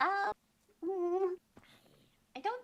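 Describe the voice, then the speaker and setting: A squeaky put-on character voice at an extremely high pitch. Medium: actual play. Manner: hesitant, stammering, laughing.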